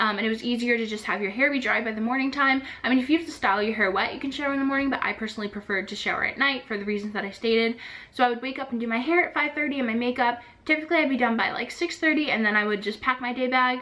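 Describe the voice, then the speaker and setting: A woman talks at a very fast pace with a high pitch and ordinary pitch variation against noticeable background noise. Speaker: vlogger, former theme park housekeeper. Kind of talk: casual vlog talk.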